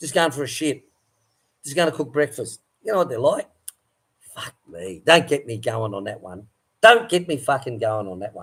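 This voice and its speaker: With an Australian accent and vocal fry, a man speaks at a moderate pace in a fairly high voice, his pitch swinging very widely and his loudness shifting a lot between long, frequent pauses. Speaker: farmer and livestream host. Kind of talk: casual livestream chat.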